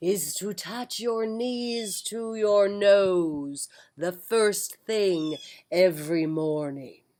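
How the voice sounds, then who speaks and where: A female-sounding put-on character voice at middle pitch moves at a very slow pace. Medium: read story. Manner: mysterious, grand.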